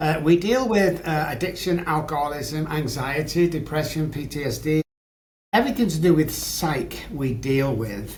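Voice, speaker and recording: A man talks with an English accent. Audible room echo surrounds his voice. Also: fairly high pitch for a man, lively intonation, moderate pace. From England. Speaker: addiction psychologist. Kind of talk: podcast interview, personal story.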